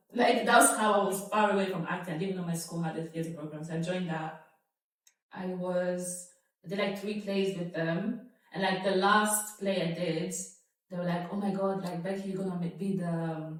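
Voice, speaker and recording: With audible room echo, a woman of medium pitch talks at a moderate pace using fairly even intonation. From Italy, Nigerian household. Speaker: actress. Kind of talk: casual chat.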